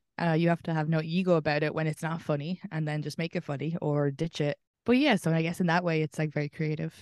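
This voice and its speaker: A woman with an Irish accent talks at a very fast pace with hardly any pauses, her pitch very deep and low and her intonation fairly even. The sound is dry and close with no echo, over a quiet background. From Ireland. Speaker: comedian. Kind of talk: interview.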